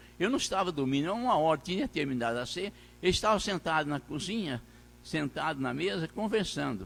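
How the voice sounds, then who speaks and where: A man's fairly high voice with vocal fry and very wide pitch swings, at a fairly quick pace, on a very clean recording with a silent background. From Brazil, Minas Gerais. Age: 80s+. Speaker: pastor. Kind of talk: sermon. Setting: church. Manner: halting.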